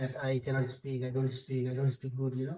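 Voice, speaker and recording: A man talks at a moderate pace and a medium pitch. His voice is somewhat breathy. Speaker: city councillor. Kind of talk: interview.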